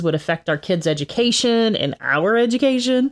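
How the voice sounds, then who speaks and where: A woman speaks in a Texan accent. Her pace is moderate, and the recording is very clean with a silent background. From Texas. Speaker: podcast co-host. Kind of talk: casual chat.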